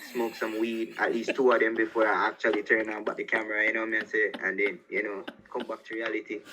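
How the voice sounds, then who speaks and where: A man at a very fast pace, over noticeable background noise. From Jamaica. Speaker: musician. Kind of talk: interview.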